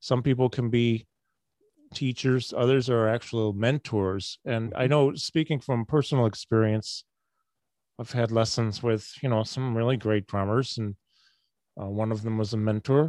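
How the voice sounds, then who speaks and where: A man speaks with an American accent in an unremarkable speaking voice at medium pitch, keeping a moderate pace and fairly even intonation. The sound is dry and close with no echo, over a quiet background. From Syracuse, New York. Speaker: podcast host and musician. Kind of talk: casual interview. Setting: video call.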